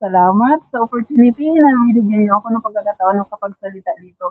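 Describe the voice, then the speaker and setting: Speaking at a moderate pace, a woman shows a fairly high pitch and ordinary pitch variation. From Philippines, Davao region (Mindanao). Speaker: masterclass participant, trainer. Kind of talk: testimony sharing on livestream. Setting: online livestream. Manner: halting, many fillers.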